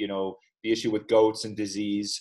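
A man speaks at a moderate pace with a medium pitch and a normal speaking voice. The background is quiet. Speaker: podcast host. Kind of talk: casual interview. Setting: video call.

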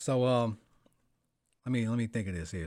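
In an American accent, a man with an ordinary speaking voice talks at a fairly quick pace with ordinary pitch variation, captured in a very clean recording with a silent background. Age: 30s. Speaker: podcast host and rapper. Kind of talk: casual chat.

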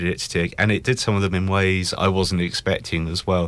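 With a plain, everyday voice, a man speaks at a moderate pace in a fairly low pitch on a very clean recording with a silent background. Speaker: film reviewer. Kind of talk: radio panel discussion. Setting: radio studio.

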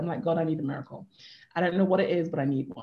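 Somewhat breathy and with a British accent, the voice moves at a very fast pace. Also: woman. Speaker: life coach. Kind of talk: interview.

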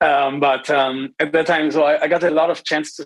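A man's fairly high-pitched voice at a moderate pace, in a dry, close sound with no echo. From northern Germany. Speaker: machine learning engineer. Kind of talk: interview. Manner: halting, many repetitions.

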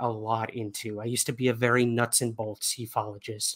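Recorded very cleanly against a silent background, a man is heard. He talks at a fairly quick pace. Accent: New York. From New York. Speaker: UFO researcher and podcaster. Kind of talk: casual interview conversation.

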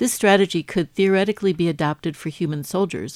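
A woman with a plain, everyday voice speaks at a fairly low pitch and a fairly quick pace with ordinary pitch variation, on a very clean recording with a silent background. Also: dry, close sound with no echo. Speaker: radio science show host. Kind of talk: interview and news presenting.

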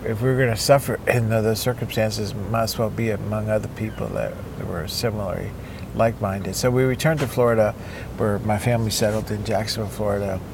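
A man's very fast speech with fairly even intonation, audible room echo and noticeable background noise. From Cuba. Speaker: neuropsychologist and surfer. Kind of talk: interview. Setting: outdoors by the ocean.

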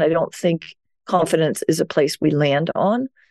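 In a Danish accent, a woman speaks with a dark, mellow tone, the sound dry and close with no echo. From Denmark. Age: 60s. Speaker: self-care speaker and author. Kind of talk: interview.

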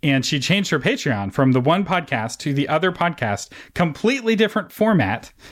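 In a very clean recording with a silent background, a man with a fairly high pitch and vocal fry speaks at a fairly quick pace, his pitch swinging very widely while his loudness stays very even. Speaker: podcast host. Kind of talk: interview conversation.

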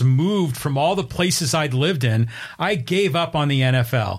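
This man's voice is somewhat breathy and fairly high-pitched, with ordinary variation in pitch. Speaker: co-host. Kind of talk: sports talk show banter.

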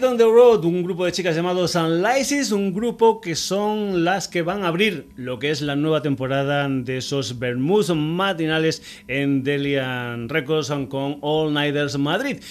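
A man talks in a plain, everyday voice, fairly high in pitch with lively intonation. His pace is fairly slow, with hardly any pauses. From Extremadura, Spain. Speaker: radio music show host. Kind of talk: radio music show presenting.

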